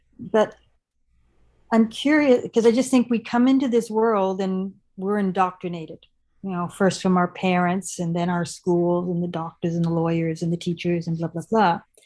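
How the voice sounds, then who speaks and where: A normal speaking voice, with ordinary pitch variation and a moderate pace, is heard over a quiet background. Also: woman. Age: 50s. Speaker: channel host, interviewer. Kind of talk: interview conversation.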